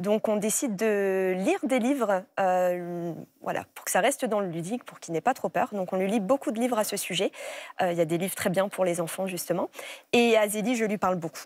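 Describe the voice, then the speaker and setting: A woman speaks at a fairly quick pace and medium pitch, with ordinary pitch variation and a dry sound with no echo. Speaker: breast cancer survivor and mother; guest. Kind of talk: testimony. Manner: halting. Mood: emotional, calm recollection. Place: studio. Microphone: lapel.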